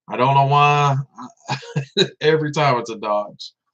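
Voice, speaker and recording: A man talks with an American accent. His intonation stays fairly even. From US South, Tennessee (Memphis area). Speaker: vape livestreamer. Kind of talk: casual live stream chat. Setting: live stream.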